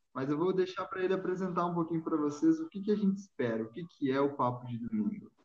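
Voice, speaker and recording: Talking at a very fast pace with hardly any pauses, a man uses a high pitch and lively intonation. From Rio Grande do Sul, Brazil. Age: 20s. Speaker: podcast host. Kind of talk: casual chat.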